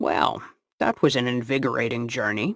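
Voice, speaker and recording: A man performs a put-on character voice at medium pitch. His moderate pace comes through in a dry, close sound with no echo. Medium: read story. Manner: upbeat, earnest.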